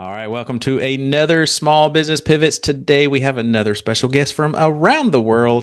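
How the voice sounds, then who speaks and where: A man with a fairly high pitch speaks with a slight Southern US accent. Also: very clean recording, silent background. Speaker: podcast host. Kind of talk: casual interview.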